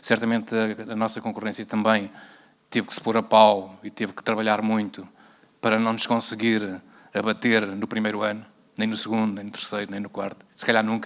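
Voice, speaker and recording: A man with a European Portuguese accent talks at a fairly quick pace in a fairly low pitch, his intonation monotone and flat. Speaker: transport company executive. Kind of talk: panel discussion. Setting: stage with audience.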